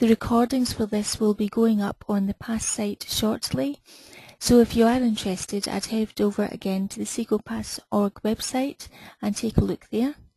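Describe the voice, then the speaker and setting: A woman with a Scottish accent speaks at a moderate pace and a fairly high pitch, with fairly even intonation. Her tone is dark, mellow and somewhat breathy, in a dry, close sound with no echo. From Scotland. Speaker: webinar host, BI consultant. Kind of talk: webinar introduction.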